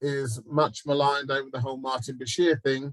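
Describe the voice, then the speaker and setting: Medium-pitched male speech in a southeast English accent at a moderate pace. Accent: London and South East English. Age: 50s. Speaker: TV executive and producer. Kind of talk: panel talk.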